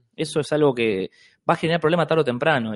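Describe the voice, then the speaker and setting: This man has an ordinary speaking voice, fairly high in pitch, with lively intonation. The sound is dry and close with no echo, over a quiet background. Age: 30s. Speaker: free love activist. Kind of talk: casual chat.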